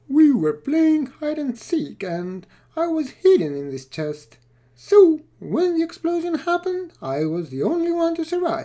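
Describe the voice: A squeaky, high-pitched cartoonish character voice at a moderate pace.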